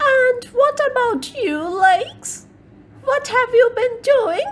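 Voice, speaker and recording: A woman performs a put-on character voice at a very slow pace. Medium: read story. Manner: sly.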